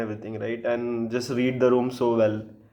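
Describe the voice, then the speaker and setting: A man's voice is heard with audible room echo. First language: not English. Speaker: vlogger giving dating and social advice. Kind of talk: casual monologue to camera. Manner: hesitant, many filler sounds.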